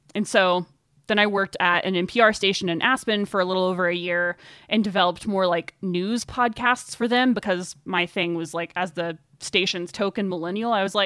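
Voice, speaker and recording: A woman with an unremarkable speaking voice talks at a moderate pace and medium pitch, in an American accent. The recording is very clean with a silent background, and the sound is dry and close with no echo. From US South, Northwest Arkansas. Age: 20s. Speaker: runner, writer and podcast host. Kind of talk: interview conversation.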